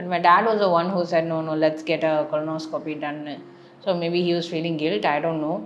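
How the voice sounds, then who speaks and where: Speech comes at a fairly quick pace with fairly even intonation. Noticeable background noise and audible room echo are present. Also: woman, fairly low pitch for a woman. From Chennai, South India. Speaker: vlogger. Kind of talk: personal testimony.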